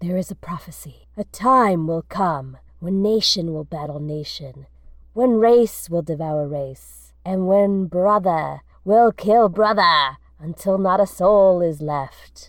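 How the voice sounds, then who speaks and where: This put-on character voice sits at a middle pitch and moves at a fairly slow pace over a very clean recording with a silent background. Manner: dramatic, ominous.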